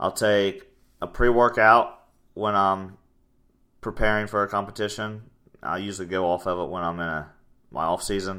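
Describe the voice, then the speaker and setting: A loud man speaks at a fairly low pitch and a moderate pace, his tone bright and sharp with fairly even intonation. Long, frequent pauses break up his speech on a very clean recording with a silent background. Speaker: fitness coach and podcast host. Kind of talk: casual chat.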